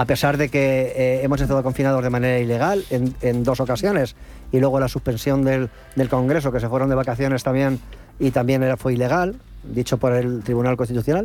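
A man in a normal speaking voice talks at a fairly quick pace and medium pitch, with fairly even intonation and very even loudness. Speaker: radio host. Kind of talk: panel talk show.

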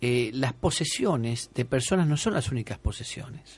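A somewhat breathy man at a fairly slow pace, with a quiet background. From Argentina, Buenos Aires. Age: 50s. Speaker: exorcist bishop. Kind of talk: radio interview. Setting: radio studio.

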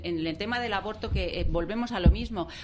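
A woman's voice over noticeable background noise. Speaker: panelist. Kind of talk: talk radio debate. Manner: halting.

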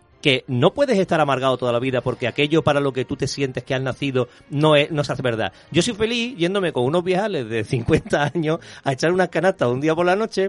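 Very fast and fairly high, a man's voice carries lively intonation in a dry, close recording with no echo. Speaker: screenwriter and comics columnist. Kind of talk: casual panel chat.

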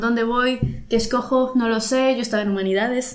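A woman with a fairly high pitch at a moderate pace, in audible room echo. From Mexico, Veracruz. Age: 30s. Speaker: painter. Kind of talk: casual interview chat.

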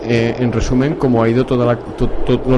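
Both noticeable background noise and audible room echo can be heard. The delivery keeps a moderate pace. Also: man. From Barcelona, Catalonia. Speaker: radio host. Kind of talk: casual chat.

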